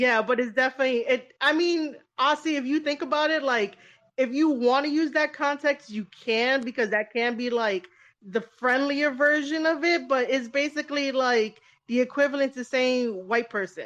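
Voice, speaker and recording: A woman speaks at a moderate pace in a high pitch, with ordinary pitch variation. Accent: American. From New York. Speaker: podcast host. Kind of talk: casual chat. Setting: Twitter Spaces audio room.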